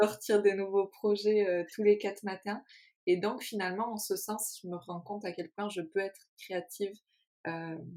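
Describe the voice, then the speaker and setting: With fairly even intonation, a woman of medium pitch speaks at a fairly slow pace. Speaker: podcast co-host. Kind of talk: casual chat. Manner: calm.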